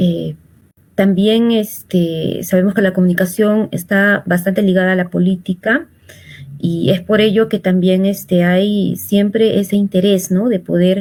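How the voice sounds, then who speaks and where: A woman at a medium pitch speaks at a fairly slow pace, her somewhat breathy voice keeping very even loudness and fairly even intonation. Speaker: social communicator, political commentator. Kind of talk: political interview. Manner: hesitant, many fillers.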